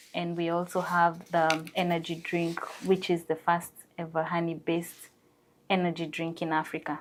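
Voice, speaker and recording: A woman with a Kenyan accent, fairly low in pitch, monotone and flat, at a moderate pace. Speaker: entrepreneur. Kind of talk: TV interview.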